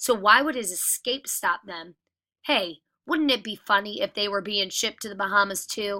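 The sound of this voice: An unforced reading voice rises and falls with ordinary pitch variation against a quiet backdrop.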